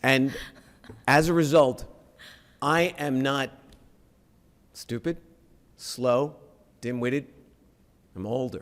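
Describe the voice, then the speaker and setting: Speaking at a very slow pace with long, frequent pauses, a man uses a fairly high pitch and ordinary pitch variation. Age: 60s. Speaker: council candidate. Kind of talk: candidate debate answer.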